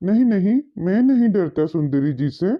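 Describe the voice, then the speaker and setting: A cartoonish character voice at a middle pitch and moderate pace. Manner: polite, addresses others respectfully.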